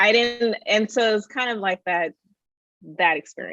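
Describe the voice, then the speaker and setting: A woman with a Californian accent at a fairly slow pace, in a dry, close sound with no echo. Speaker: tech executive and educator. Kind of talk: interview.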